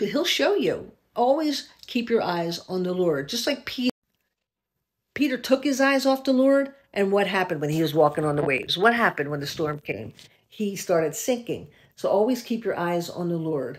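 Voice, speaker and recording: A woman speaks at a medium pitch and moderate pace. Her pitch swings very widely. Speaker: video blogger sharing a faith-based warning dream. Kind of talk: casual vlog chat, preachy testimony. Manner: casual, earnest, conversational storytelling. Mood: earnest, urgent warning. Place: home room. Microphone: phone near.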